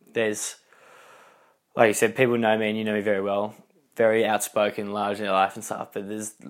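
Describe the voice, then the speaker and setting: A man with an Australian accent speaks at a fairly quick pace and a fairly low pitch. The recording is very clean, with a silent background. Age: 20s. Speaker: interviewee. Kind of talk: casual interview. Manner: animated.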